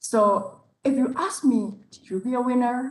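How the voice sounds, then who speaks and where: A woman's fairly high voice with a non-native accent and ordinary pitch variation. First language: not English. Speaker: public speaking competition contestant. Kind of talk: competition speech. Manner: halting.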